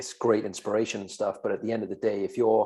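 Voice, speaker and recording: Delivered at a fairly quick pace with a Welsh accent, the speech has fairly even intonation. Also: man. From Wales. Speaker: podcast co-host, fitness coach. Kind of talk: casual podcast chat.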